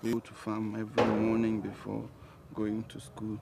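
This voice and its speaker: Amid noticeable background noise, a soft-spoken man talks at a moderate pace and a fairly low pitch with fairly even intonation. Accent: Ghanaian. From Ghana. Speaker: talk show guest. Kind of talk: interview.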